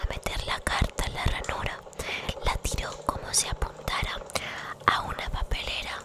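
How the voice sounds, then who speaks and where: Someone whispers at a very slow pace. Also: woman. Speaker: ASMR creator. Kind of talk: whispered bedtime story reading. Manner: whispered, soft. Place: home room. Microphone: studio mic.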